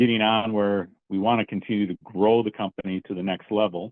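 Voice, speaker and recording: Speaking with an American accent, a man uses a fairly low pitch and fairly even intonation at a moderate pace. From Minnesota. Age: 60s. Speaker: business owner. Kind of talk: interview.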